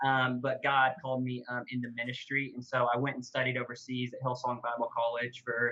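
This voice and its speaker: A man with a Southern US accent talks fairly quickly at a medium pitch. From Oklahoma. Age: 20s. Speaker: youth pastor. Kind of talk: casual interview chat.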